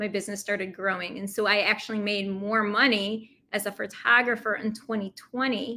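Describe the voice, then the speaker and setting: A woman with an American accent, medium pitch and a bright, sharp tone, at a moderate pace in a monotone, flat intonation. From upstate New York. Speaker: photographer and forgiveness coach. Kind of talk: interview conversation.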